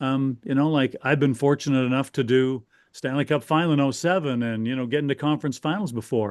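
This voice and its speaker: In a Canadian accent, a man talks at a fairly quick pace with a medium pitch, ordinary pitch variation and a plain, everyday voice. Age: 60s. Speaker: hockey radio broadcaster. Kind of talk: podcast interview. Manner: conversational, with frequent fillers and restarts.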